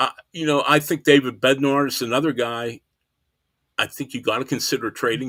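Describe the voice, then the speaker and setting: A man's bright, sharp voice with an American accent, in a dry, close sound with no echo. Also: very clean recording, silent background. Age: 60s. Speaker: baseball writer. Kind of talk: podcast interview.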